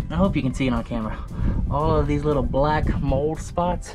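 A man keeps a moderate pace while clear music sounds in the background. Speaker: boat owner reviewer. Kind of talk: casual vlog chat. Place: boat. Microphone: phone near.

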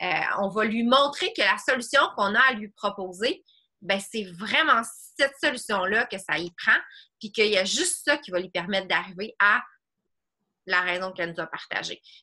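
With a bright, sharp tone and lively intonation, a woman talks at a moderate pace, leaving long, frequent pauses over a quiet background. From Quebec. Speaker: online fitness coach. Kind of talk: group coaching video call. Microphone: video call.

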